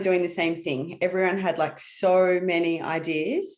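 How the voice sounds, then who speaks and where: Speaking at a fairly slow pace, a woman with an Australian accent has a fairly low pitch. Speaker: branding strategist. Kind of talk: webinar presentation.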